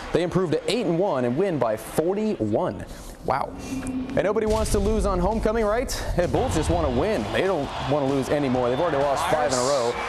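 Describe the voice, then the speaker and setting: Over music in the background, a man with a high pitch speaks fairly quickly in an upbeat, energetic tone, his pitch swinging very widely while his loudness stays very even. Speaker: TV sports anchor. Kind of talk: local TV sportscast. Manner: upbeat, energetic, jokey.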